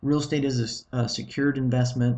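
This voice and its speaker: A man speaks with monotone, flat intonation and a somewhat breathy sound. The background is quiet. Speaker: real estate investment presenter. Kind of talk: webinar presentation. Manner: fast; halting, many fillers and restarts.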